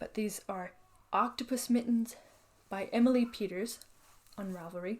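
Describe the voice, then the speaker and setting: A woman with a Canadian accent speaks at a moderate pace in a fairly high, somewhat breathy voice. Her loudness swings widely. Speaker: knitting podcaster and designer. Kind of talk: casual show-and-tell vlog. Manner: relaxed, hesitant with fillers.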